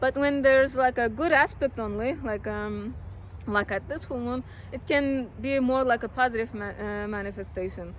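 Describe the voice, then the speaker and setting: A woman's high-pitched voice with a non-native accent and ordinary pitch variation. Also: moderate pace. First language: not English. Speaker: astrologer. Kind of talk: horoscope monologue. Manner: hesitant, many fillers; casual.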